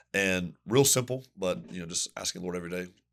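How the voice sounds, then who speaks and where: Speaking very fast with a Southern US accent, this man has a very deep, low pitch on a very clean recording with a silent background. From US Southeast. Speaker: pastor. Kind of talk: podcast interview. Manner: casual, conversational.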